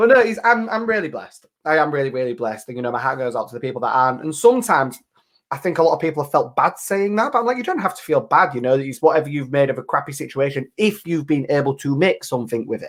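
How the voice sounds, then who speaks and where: A man talks at a very fast pace with hardly any pauses. His fairly high voice is animated, with very wide pitch swings. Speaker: online talk show host. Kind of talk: casual chat. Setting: live video stream.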